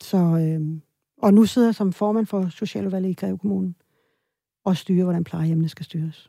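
On a very clean recording with a silent background, a woman with a dark, mellow tone speaks at a moderate pace with fairly even intonation and long, frequent pauses, the sound dry and close with no echo. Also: medium pitch for a woman. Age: 50s. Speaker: politician. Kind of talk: interview conversation.

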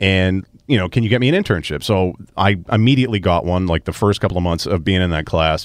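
With a Boston accent, a man speaks very fast in a very deep, low voice with ordinary pitch variation against a quiet background. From Melrose, Massachusetts (Boston area). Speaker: sports radio personality. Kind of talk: casual interview chat.

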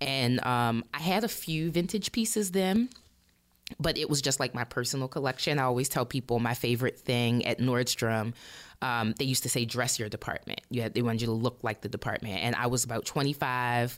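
Speech in an American accent at a fairly quick pace, with ordinary pitch variation. The recording is very clean, with a silent background. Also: woman, very deep, low pitch for a woman. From Baltimore, Maryland, US. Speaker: vintage clothing shop owner. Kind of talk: interview conversation. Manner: casual with many fillers.

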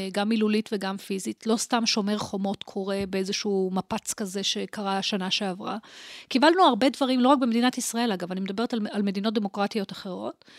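Using an ordinary speaking voice, a woman talks at a medium pitch and a fairly quick pace, with ordinary pitch variation. She barely pauses, and the sound is dry and close with no echo. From Israel, Holon. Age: 50s. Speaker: professor of information science. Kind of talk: interview conversation.

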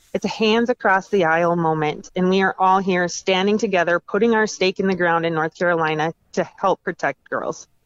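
This is an unremarkable speaking voice of a woman with an American accent. Her pitch is medium, with ordinary pitch variation. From Minnesota. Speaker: advocacy group founder, powerlifter. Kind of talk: interview.

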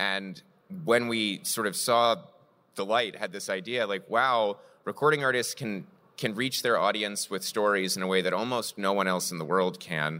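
A man talks at a moderate pace with fairly low pitch and ordinary pitch variation. He has a normal speaking voice. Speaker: comics publisher executive, former philosopher. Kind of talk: panel discussion. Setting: stage with live audience. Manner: articulate, analytical.

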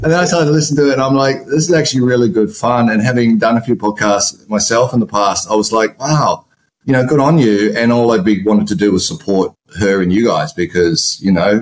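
Here a man with an ordinary speaking voice talks at a fairly quick pace and medium pitch, his intonation lively and his loudness very even. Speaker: guest, ex-partner of host. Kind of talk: casual chat.

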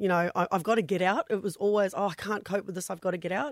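On a very clean recording with a silent background and a dry, close sound with no echo, a woman with a New Zealand accent speaks at medium pitch with ordinary pitch variation. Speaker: domestic violence survivor and charity founder. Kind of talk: radio interview testimony. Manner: hesitant, many fillers.

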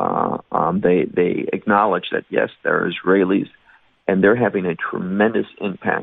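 A man speaks with a Chicago accent. His pace is fairly slow. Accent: Chicago American. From US Midwest, Chicago. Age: 50s. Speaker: Bible teacher. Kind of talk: interview.

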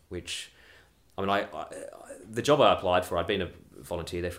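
Speaking very fast, a man with an Australian accent uses a very deep, low pitch. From Australia and UK. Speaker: radio broadcaster. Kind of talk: casual chat.

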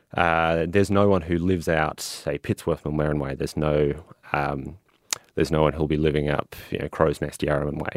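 A man's very deep, low pitch with an Australian accent, fairly even intonation and a fairly quick pace. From Toowoomba, Queensland, Australia. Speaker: council candidate. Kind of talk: interview.

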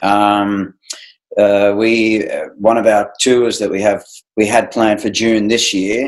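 The delivery is very slow, in a monotone with flat intonation. The speaker is a man. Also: fairly low pitch for a man. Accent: Australian. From regional Australia (Wodonga, Victoria). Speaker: ballet director and former dancer. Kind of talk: casual interview.

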